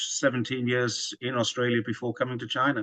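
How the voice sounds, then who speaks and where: The man's medium-pitched voice moves at a fairly quick pace in a monotone, flat delivery, recorded with a dry, close sound and no echo. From northeast England. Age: 60s. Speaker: former police officer and long-distance cyclist. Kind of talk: guest presentation.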